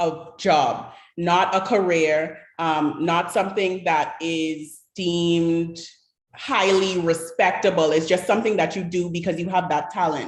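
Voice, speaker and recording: Audible room echo carries a woman's fairly low voice as she speaks at a fairly slow pace with fairly even intonation. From Bahamas. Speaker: panelist on creative industries. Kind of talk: panel discussion. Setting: online livestream hangout.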